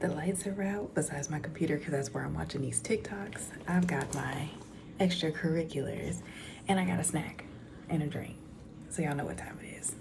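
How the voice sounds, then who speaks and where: A woman whispers at a fairly quick pace. There is noticeable background noise and audible room echo. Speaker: storytime YouTuber. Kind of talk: casual chat. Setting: at home at night. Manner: whispering.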